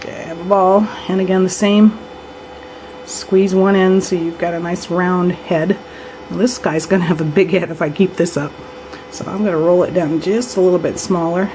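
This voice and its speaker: A woman of medium pitch speaks at a moderate pace with fairly even intonation over noticeable background noise. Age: 60s. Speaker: polymer clay crafter. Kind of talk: tutorial. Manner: casual, conversational.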